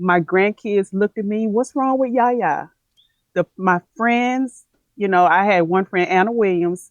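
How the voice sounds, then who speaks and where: A woman's medium-pitched voice with a Southern US accent, fairly slow, with ordinary pitch variation, very even loudness and a dry, close sound with no echo. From US South, Tennessee. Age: 50s. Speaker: plant-based health coach. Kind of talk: interview conversation. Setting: live video stream.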